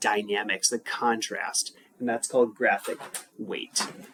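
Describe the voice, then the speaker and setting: A man speaks over noticeable background noise. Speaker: high school English teacher. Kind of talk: recorded lesson. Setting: home.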